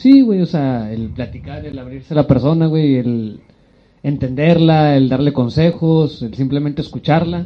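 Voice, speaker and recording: Here a man speaks in a plain, everyday voice, fairly high in pitch with ordinary pitch variation. His pace is fairly slow, and his loudness swings widely. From Mexico, Monterrey. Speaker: podcast co-host. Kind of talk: casual chat.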